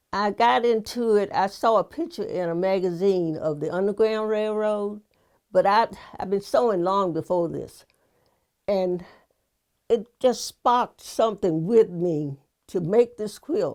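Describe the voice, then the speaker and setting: A woman speaks in a Virginia accent at a fairly slow pace, her pitch medium. The recording is very clean, with a silent background. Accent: Southern US (Virginia). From Halifax County, Virginia. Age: 80s+. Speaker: quilter. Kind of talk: interview answer.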